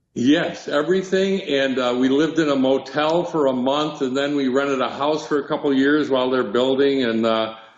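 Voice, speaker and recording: A man with a fairly high voice speaks fairly quickly, with hardly any pauses and very even loudness. His pitch varies in an ordinary way, and the room echo is audible. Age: 70s. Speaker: touring performer. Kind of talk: casual interview.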